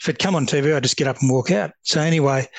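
A man talks at a very fast pace. He has a strong Australian accent. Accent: broad Australian. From Australia, rural Victoria (Upper Murray). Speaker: retired police officer, peer support founder. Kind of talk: interview.

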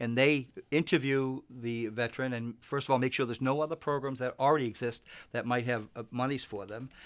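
A man with a normal speaking voice and an American accent, medium in pitch, fairly even in intonation, at a fairly quick pace, in a very clean recording with a silent background. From Massachusetts, Boston area. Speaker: investment advisor. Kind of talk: radio interview. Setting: radio studio.

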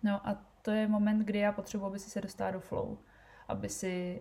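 A woman's dark, mellow voice, somewhat breathy, with flat, monotone intonation. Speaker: podcast host and entrepreneur. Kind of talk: casual solo podcast talk. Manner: fast.

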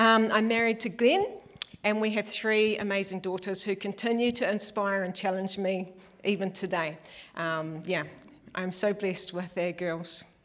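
Speaking at a moderate pace with fairly even intonation, a woman with a Southland New Zealand accent uses a medium pitch. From New Zealand, Western Southland. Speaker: church elder, lay preacher. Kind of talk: sermon.

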